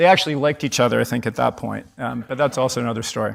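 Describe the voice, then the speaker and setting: On a very clean recording with a silent background, a man speaks with ordinary pitch variation. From Canada. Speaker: company CEO. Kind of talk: conference keynote talk. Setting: stage with audience. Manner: animated.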